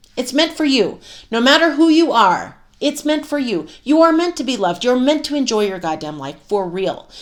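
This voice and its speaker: Loud and animated, a woman with an American accent speaks at a high pitch with very wide pitch swings. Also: very clean recording, silent background. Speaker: self-help coach and podcast host. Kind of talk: motivational monologue with course pitch.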